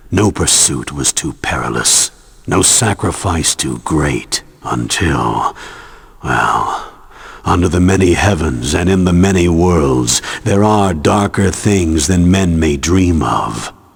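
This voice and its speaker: A man puts on a character voice with a very deep, low pitch. He delivers it at a fairly slow pace. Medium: video game. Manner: grave, measured.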